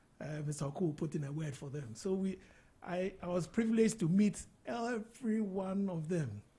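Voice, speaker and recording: The voice has a dark, mellow tone and lively intonation. It moves at a fairly quick pace. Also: man, high pitch for a man. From Ghana, Accra. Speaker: interview guest, business mentor. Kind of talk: casual interview.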